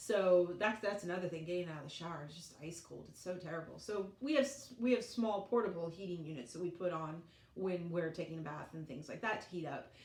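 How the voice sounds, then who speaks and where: Amid noticeable background noise, a woman with a fairly low pitch speaks at a fairly quick pace, her loudness swinging widely. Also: ordinary pitch variation. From Colorado, United States. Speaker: vlogger, mother. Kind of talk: casual talk to camera.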